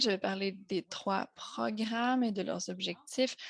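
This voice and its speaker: Medium-pitched woman with an American accent against a quiet background. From United States. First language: English (speaking French). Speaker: associate director of a health-language program. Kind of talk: conference presentation. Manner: hesitant, with frequent fillers.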